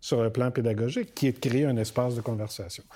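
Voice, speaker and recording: A man talks at a medium pitch with a dark, mellow tone. The recording is very clean, with a silent background. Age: 60s. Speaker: university rector. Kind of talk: interview.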